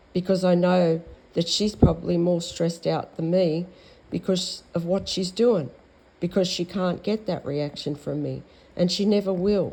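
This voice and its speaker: A woman's dark, mellow voice in an Australian accent, with fairly even intonation. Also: fairly low pitch for a woman, moderate pace. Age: 60s. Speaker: vlogger. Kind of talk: monologue. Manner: halting.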